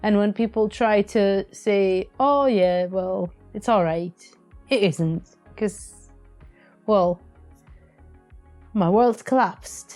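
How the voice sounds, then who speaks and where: With music in the background, a woman speaks very slowly with ordinary pitch variation and long, frequent pauses. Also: medium pitch for a woman, very even loudness. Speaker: podcast co-host. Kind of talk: emotional personal talk about grief. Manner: shaky, emotional.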